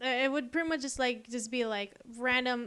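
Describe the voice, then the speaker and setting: Someone speaks at a moderate pace in an American accent. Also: woman. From Texas. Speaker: art YouTuber. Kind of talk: casual voiceover commentary. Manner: rambling, hesitant with many fillers.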